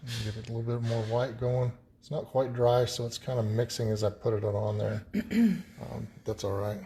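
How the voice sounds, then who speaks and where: A man mumbles at a moderate pace in a medium-pitched, dark, mellow voice that is somewhat breathy. His intonation is monotone and flat. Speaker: painting instructor. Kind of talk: tutorial. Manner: mumbling.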